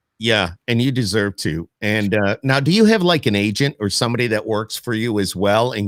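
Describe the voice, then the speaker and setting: A man speaks in an ordinary speaking voice at a moderate pace, his fairly low pitch caught in a dry, close sound with no echo on a very clean recording with a silent background. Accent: American. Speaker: podcast host. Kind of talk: interview. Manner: casual.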